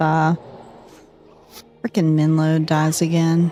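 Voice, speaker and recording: A dark, mellow tone with a strong Southern US accent, relaxed and fairly slow, with fairly even intonation. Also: woman. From US South, North Carolina. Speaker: gaming streamer. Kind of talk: casual chat.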